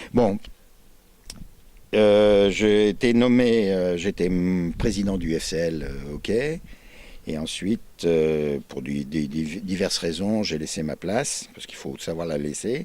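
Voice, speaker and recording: Very slow speech with long, frequent pauses, a dark, mellow tone, and lively intonation. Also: man, very deep, low pitch for a man. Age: 70s. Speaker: regional sports league president. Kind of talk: interview. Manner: halting.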